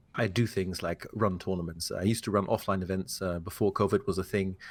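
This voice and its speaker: A man with a British accent speaks at a moderate pace and a fairly low pitch. His pitch varies in an ordinary way, and the recording is very clean with a silent background. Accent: British-learned English. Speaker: community manager. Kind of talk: interview. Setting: podcast recording.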